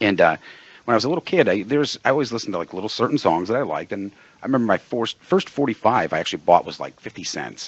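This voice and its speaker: A man talks at a very fast pace with lively intonation, a medium pitch and a slight East Coast accent. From Pennsylvania, US East Coast. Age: 40s. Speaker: radio co-host and producer. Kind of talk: casual chat.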